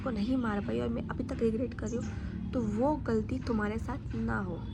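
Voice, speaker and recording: There is audible room echo around this woman. She speaks at a moderate pace. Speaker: vlogger. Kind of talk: casual vlog storytelling.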